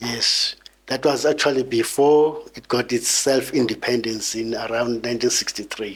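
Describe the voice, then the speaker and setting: Over noticeable background noise, a man speaks at a fairly slow pace with monotone, flat intonation. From South Africa, Eastern Cape (Mthatha). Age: 60s. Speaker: former liberation struggle exile. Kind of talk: interview testimony.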